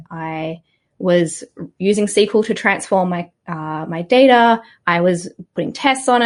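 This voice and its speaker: Against a quiet background, a woman with an Australian accent speaks with lively intonation. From Australia, Sydney. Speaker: software community manager. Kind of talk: podcast interview.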